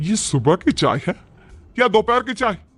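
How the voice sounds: In a cartoonish character voice, a man speaks fairly slowly at a high pitch, with big pitch swings and a fairly bright tone.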